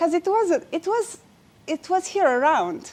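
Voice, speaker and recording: A woman speaks with a Romanian accent at a fairly slow pace. Her pitch swings very widely. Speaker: inspirational speaker. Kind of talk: inspirational speech. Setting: stage with audience. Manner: halting.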